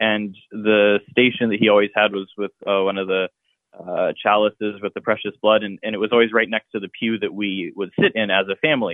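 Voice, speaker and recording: A man with a Midwestern American accent talks at a fairly quick pace. His fairly low voice is monotone and flat. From Columbus, Ohio. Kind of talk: interview.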